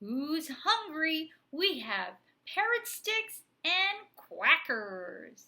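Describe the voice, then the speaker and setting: A woman in a put-on character voice speaks very slowly in a raised, projected voice, her extremely high pitch making very wide swings. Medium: read story. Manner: cheerful, teacherly, playful.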